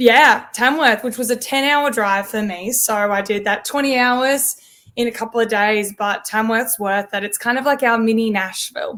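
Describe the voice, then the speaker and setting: With an Australian accent, a woman speaks at a moderate pace in a fairly high pitch, her tone bright and sharp and her intonation fairly even. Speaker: country pop singer. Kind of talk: interview podcast.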